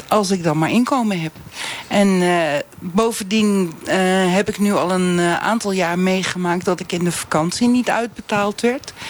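A woman's medium-pitched speech, delivered at a moderate pace with ordinary pitch variation, comes through noticeable background noise. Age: 50s. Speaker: English teacher, flex worker. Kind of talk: live radio debate.

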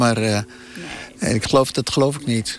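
A man speaks at a moderate pace with fairly even intonation while noticeable background noise carries on. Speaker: family member of host. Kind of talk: casual reminiscing. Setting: on location at old family house.

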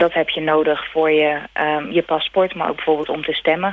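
This woman has a very deep, low pitch and speaks at a fairly quick pace with monotone, flat intonation. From Netherlands, Rotterdam. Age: 30s. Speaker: emigrant. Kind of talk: interview. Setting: phone call.

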